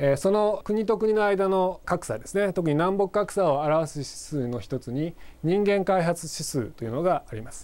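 Big swings in loudness and lively intonation mark a man's high voice at a moderate pace. The recording is very clean, with a silent background. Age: 40s. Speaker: university professor. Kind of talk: lecture. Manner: hesitant fillers.

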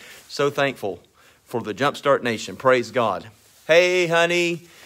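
A man speaks at a fairly slow pace with a bright, sharp tone and ordinary pitch variation over a quiet background. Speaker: minister hosting a live stream. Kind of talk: casual live-stream greeting and devotional talk. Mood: warm, upbeat. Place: home room. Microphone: phone near.

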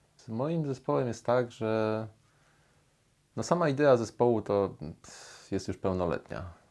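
Lively intonation and big swings in loudness mark this man's medium-pitched voice as he speaks at a fairly slow pace with long, frequent pauses, in a very clean recording with a silent background. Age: 30s. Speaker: musicologist and musician. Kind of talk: personal interview monologue. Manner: halting, with fillers and repetitions.

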